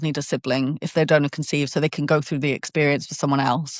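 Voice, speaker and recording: Over a quiet background, the speech comes in a southern English accent. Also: woman, dry, close sound with no echo. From southern England. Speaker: podcast guest sharing personal story. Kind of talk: interview conversation. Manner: hesitant with false starts.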